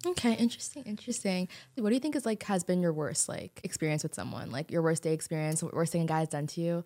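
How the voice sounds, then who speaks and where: Speaking at a very fast pace with hardly any pauses, a woman uses a fairly low, dark, mellow voice. Her intonation is lively. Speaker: podcast host. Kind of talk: casual chat. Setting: studio. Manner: animated.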